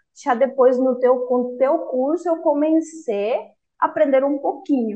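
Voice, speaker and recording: A woman in a Spanish accent, high-pitched, at a fairly slow pace with ordinary pitch variation. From Cuba. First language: Spanish (speaking Portuguese). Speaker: former language student, engineer. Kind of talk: interview testimony. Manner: halting, with self-corrections.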